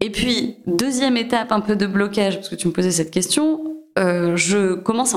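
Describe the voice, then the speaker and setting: A woman speaks at a fairly quick pace in a medium pitch, with ordinary pitch variation. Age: 30s. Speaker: entrepreneur, former consultant. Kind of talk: interview testimony. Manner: hesitant, many fillers and repetitions.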